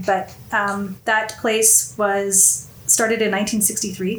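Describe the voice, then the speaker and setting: A woman with a medium-pitched, somewhat breathy voice speaks with fairly even intonation, and audible room echo can be heard. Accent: Canadian. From Canada, Winnipeg. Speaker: whisky enthusiast. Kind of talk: casual chat. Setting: studio.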